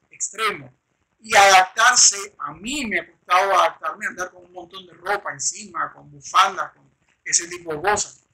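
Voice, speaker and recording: Raising and projecting his voice, a man talks at a fairly slow pace with high pitch and lively intonation. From Venezuela. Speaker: interviewer, channel host. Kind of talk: interview conversation. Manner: hesitant, with fillers.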